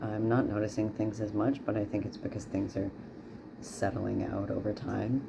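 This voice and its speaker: There is noticeable background noise as a man speaks at a moderate pace with a fairly low pitch. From Newfoundland, Canada. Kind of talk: casual video diary. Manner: hesitant, many fillers.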